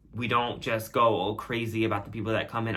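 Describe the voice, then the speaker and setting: A man speaks in a bright, sharp tone. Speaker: YouTuber, former luxury retail client advisor. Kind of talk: casual vlog talk. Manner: casual, filler-heavy.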